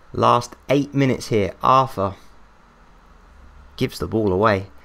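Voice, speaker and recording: A man speaks at a medium pitch with an English accent, his pitch varying in an ordinary way. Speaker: gaming YouTuber. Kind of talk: gameplay commentary. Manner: animated.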